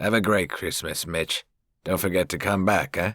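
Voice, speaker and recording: A man's put-on character voice, raspy and very deep, moves at a moderate pace with fairly even intonation in a very clean, dry, close recording with a silent background and no echo. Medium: read story. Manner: casual, chatty.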